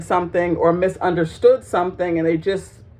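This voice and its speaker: A woman's dark, mellow voice, fairly low in pitch, moves at a moderate pace. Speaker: vlogger. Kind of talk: casual monologue to camera. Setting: home, in a child's bedroom. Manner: loud and bubbly at times.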